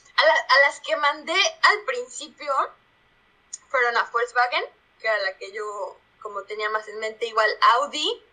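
With a central Mexican accent, a woman projects a raised voice at a moderate pace, her pitch swinging very widely. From Mexico, Puebla. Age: 20s. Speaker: product manager. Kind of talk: casual interview.

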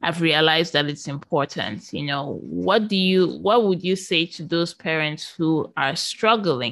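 Her pitch is fairly low for a woman, with vocal fry. She speaks at a fairly slow pace. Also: ordinary pitch variation. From northern Nigeria. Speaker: podcast host, interviewer. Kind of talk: interview.

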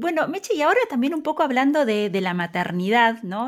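Here a woman speaks with a fairly high pitch. The recording is very clean, with a silent background. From Argentina. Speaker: podcast host. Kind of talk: interview.

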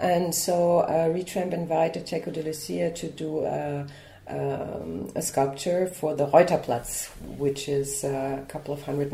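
A woman with a very deep, low voice speaks fairly slowly and with fairly even intonation, against noticeable background noise. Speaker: art curator. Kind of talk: interview answers.

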